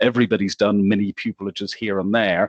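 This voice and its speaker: In an Irish accent, a man speaks at a moderate pace in a dry, close sound with no echo. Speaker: lawyer. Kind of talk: panel discussion. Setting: video call. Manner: hesitant, with fillers.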